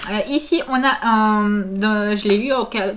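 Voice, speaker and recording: A woman speaks at a very slow pace. Her fairly high pitch rises and falls in lively intonation. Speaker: family vlogger. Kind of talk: casual vlog product review. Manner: hesitant, many fillers.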